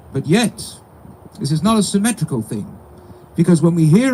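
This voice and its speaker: A man's high-pitched, dark, mellow voice with a non-native accent and lively intonation. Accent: noticeable foreign. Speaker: rabbi officiating a funeral. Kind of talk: eulogy. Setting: funeral service with mourners.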